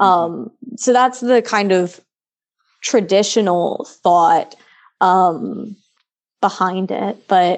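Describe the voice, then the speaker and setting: A woman speaks at a medium pitch with ordinary pitch variation in an ordinary speaking voice, against a quiet background. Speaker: philosophy student. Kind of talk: casual chat.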